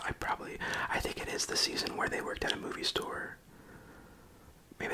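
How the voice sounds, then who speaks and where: A man whispers in a tired tone at a fairly quick pace, with long, frequent pauses. Noticeable background noise sits behind him. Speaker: ASMR creator and parent. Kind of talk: ASMR whispered ramble to camera. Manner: soft-spoken, rambling, tired.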